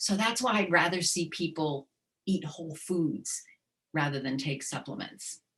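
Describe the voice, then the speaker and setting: A woman's fairly low-pitched voice, a plain, everyday voice, at a fairly slow pace with ordinary pitch variation. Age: 60s. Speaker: dietitian. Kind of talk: webinar presentation with Q&A.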